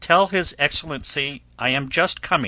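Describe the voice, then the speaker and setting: In a put-on character voice, a man sounds raspy and fairly high in pitch, speaking at a moderate pace with ordinary pitch variation. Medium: read story. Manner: commanding.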